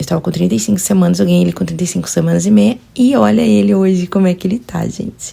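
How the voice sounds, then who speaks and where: A woman talks at a very fast pace, her very deep, low voice swinging very widely in pitch. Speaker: vlogger, new mother. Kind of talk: personal vlog narration. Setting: at home, baby nursing.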